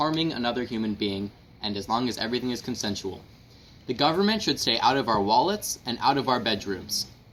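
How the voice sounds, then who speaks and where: A man talks at a fairly quick pace in an ordinary speaking voice, his pitch in the medium range. His intonation is lively. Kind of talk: mock infomercial pitch explaining a political view.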